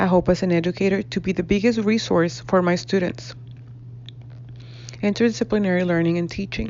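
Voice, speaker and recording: A woman with a Spanish accent, fairly low in pitch, fairly quick in pace, lively in intonation, and broken by long, frequent pauses. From northern Mexico (Reynosa, Tamaulipas). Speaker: graduate student and educator. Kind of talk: class presentation, reading aloud. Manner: formal.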